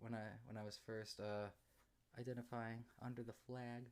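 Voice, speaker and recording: In an American accent, a man mumbles. He keeps a moderate pace. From Massachusetts, US. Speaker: streamer. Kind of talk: live stream Q&A chat. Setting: live stream. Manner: halting; mumbling.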